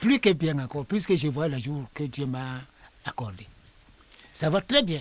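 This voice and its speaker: Amid noticeable background noise, a man with a fairly high pitch and lively intonation speaks at a fairly slow pace, with long, frequent pauses. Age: 80s+. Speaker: traditional priest and elder. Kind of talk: interview. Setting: under a tent in a village.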